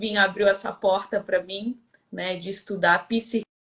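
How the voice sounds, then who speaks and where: This woman's voice sits at a medium pitch. Her tone is bright and sharp. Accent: Rio de Janeiro. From Brazil, Rio de Janeiro. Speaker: winemaker and women's mentor. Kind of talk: live-stream interview chat.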